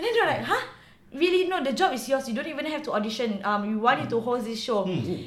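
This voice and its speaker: Very fast and high-pitched, a woman speaks with very wide pitch swings amid noticeable background noise and audible room echo. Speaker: actress. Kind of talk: casual interview.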